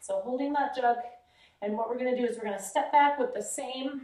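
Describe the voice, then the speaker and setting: Her high-pitched voice has a dark, mellow tone, an upbeat tone and ordinary pitch variation, with audible room echo and a quiet background. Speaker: fitness instructor. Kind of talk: live-style exercise demonstration, talking the viewer through each move with cues. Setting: home or gym workout video. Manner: upbeat, encouraging, coaching; counts reps aloud and gives steady form tips. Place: gym. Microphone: camera far.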